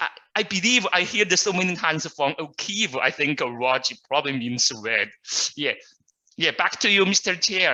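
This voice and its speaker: Bright and sharp in tone, a man's high-pitched voice moves at a moderate pace with lively intonation. His loudness stays very even. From China. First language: Mandarin. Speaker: Toastmasters club guest. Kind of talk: self-introduction at online club meeting. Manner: halting, many fillers.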